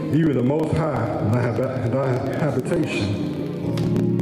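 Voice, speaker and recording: Loud music plays in the background. The room echo is audible. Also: man. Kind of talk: scripture reading and exhortation. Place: hall. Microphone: handheld.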